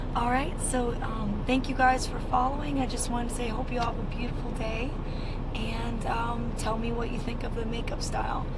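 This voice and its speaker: A woman's high voice in a monotone, flat delivery at a moderate pace, with audible room echo and noticeable background noise. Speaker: truck driver and vlogger. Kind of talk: vlog.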